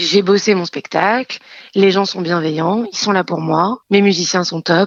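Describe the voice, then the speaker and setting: She speaks at a fairly slow pace with fairly even intonation. The woman's voice sits at a medium pitch. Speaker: actress, singer and hypnotherapist. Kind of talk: interview.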